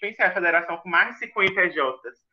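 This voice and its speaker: This man's voice sits at a high pitch. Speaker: junior enterprise movement leader. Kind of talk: interview.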